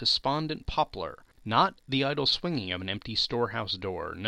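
The reading aloud is plain, yet the intonation stays lively.

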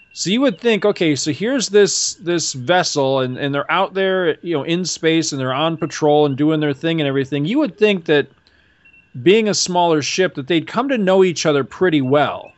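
Here a man speaks with a high pitch at a moderate pace. His intonation is lively and his tone animated. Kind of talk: casual banter. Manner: animated, joking.

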